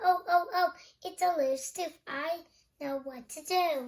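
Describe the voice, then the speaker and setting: A woman does a put-on character voice that is squeaky and extremely high-pitched, speaking at a fairly slow pace. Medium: read story.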